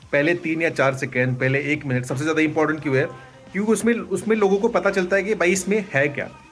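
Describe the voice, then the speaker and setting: Music plays in the background as a man speaks. His pitch is fairly high with ordinary variation, and his pace is moderate. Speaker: digital marketer and vlogger. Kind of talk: casual vlog talk.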